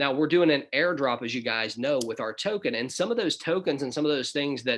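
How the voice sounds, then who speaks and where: In a Southern US accent, a man talks at a very fast pace with a fairly high pitch and ordinary pitch variation over a quiet background. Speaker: business opportunity presenter. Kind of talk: webinar presentation. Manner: casual, conversational.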